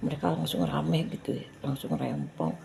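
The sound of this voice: A woman's dark, mellow tone with vocal fry and lively intonation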